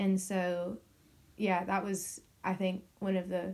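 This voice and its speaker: A woman with an American accent speaks in a medium pitch. Her somewhat breathy voice has a dark, mellow tone and a monotone, flat intonation. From US then UK, English parents. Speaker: university student. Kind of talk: casual chat.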